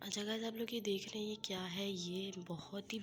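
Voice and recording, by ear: A woman's voice at medium pitch, with a fairly bright tone.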